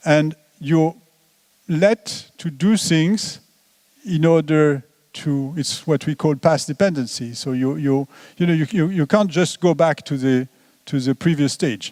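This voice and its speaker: In a dry, close recording with no echo, a man with a French accent and a fairly high pitch talks fairly slowly, with ordinary pitch variation and long, frequent pauses. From France. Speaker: economist. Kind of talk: lecture. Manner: halting.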